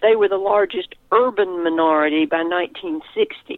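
Here is a woman with an ordinary speaking voice. She talks at a medium pitch and a fairly slow pace. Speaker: retired history professor. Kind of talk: interview on historical event. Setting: phone call.

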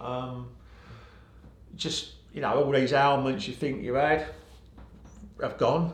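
Speaking very slowly with long, frequent pauses, a man with an English accent uses a fairly high pitch, vocal fry and fairly even intonation in a space with audible room echo. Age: 50s. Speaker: sobriety coach. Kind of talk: casual chat.

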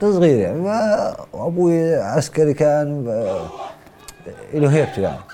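With music in the background, the speaker talks at a fairly slow pace, pausing long and often, with lively intonation. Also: man, fairly high pitch for a man. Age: 30s. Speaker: former convict, painter and plasterer. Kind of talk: testimony.

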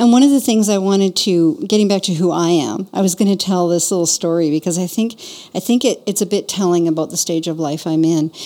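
Speaking fairly quickly with a Canadian accent, a woman has a medium pitch, a dark, mellow tone and ordinary pitch variation. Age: 60s. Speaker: podcast host and business owner. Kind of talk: casual conversation between friends.

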